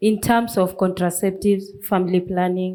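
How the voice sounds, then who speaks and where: At a fairly slow pace, a woman speaks in a dark, mellow tone with monotone, flat intonation. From Kenya, Nairobi informal settlement. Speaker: grassroots women's rights activist. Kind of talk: panel discussion. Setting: festival stage with live audience.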